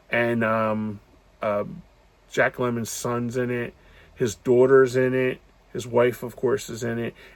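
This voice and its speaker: This man speaks at medium pitch and a fairly slow pace. His intonation is monotone and flat, with long, frequent pauses. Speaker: movie reviewer. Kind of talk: casual movie review monologue. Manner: halting, many fillers.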